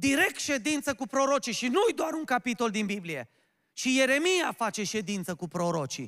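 Against a quiet background, a man speaks in an animated tone at a moderate pace. His pitch is extremely high and swings very widely. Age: 30s. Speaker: pastor. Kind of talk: sermon. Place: church. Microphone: handheld.

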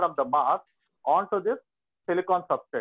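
Against a quiet background, a man talks at a fairly quick pace in a high voice with ordinary pitch variation. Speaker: lecturer. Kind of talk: lecture. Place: classroom. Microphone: video call.

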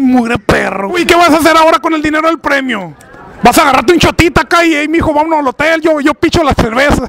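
Very fast speech with a dry sound, no echo, and light background noise. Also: man. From Mexico, Sinaloa (Guasave). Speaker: convention emcee and YouTuber. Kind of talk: casual roaming interviews. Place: street. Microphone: handheld.

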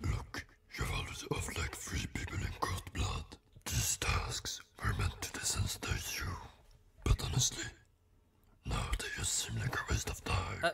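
Whispering in a strained, guttural way, a man talks at a moderate pace with long, frequent pauses. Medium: voice reel. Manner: impatient, dismissive, offhand.

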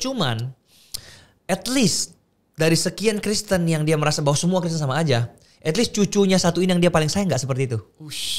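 Over a quiet background, a man with a high pitch speaks at a very fast pace with lively intonation. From Makassar, Indonesia; Indonesia. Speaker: content creator; podcast guest. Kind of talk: casual chat. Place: studio. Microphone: studio mic.

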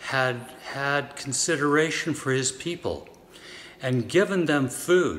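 Words come at a very slow pace. A man is the one talking. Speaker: lay reader in worship service. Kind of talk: scripture reading. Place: church. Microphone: phone near.

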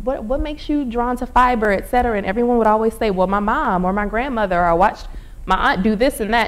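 Her pace is very fast. The woman's pitch sits fairly high, with ordinary pitch variation. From southern Louisiana. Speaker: artist, researcher and storyteller. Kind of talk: public lecture presentation. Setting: live-streamed library event. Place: hall.

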